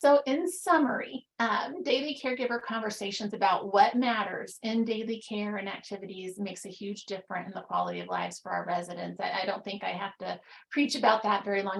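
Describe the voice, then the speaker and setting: A woman with a medium pitch speaks at a fairly quick pace with hardly any pauses and ordinary pitch variation. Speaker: telemedicine director and professor. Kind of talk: webinar presentation. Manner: fast.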